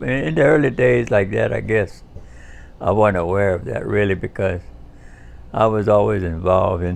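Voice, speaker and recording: A man's fairly low voice with vocal fry, in a Cajun accent. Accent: Cajun Louisiana English. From US South, Louisiana bayou (Pierre Part). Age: 70s. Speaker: war veteran. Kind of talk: life-story interview. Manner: halting, many fillers and restarts.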